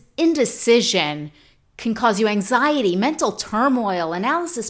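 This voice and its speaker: A woman with an American accent talks at a fairly high pitch, with very wide pitch swings and vocal fry. The recording is very clean, with a silent background. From New York. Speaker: podcast host. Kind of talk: solo podcast monologue on self-improvement.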